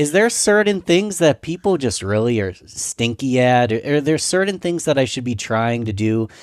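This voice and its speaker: This man talks at a fairly slow pace with a fairly high pitch and very wide pitch swings, in a dry, close sound with no echo. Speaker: podcast host, marketer. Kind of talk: podcast host conversation.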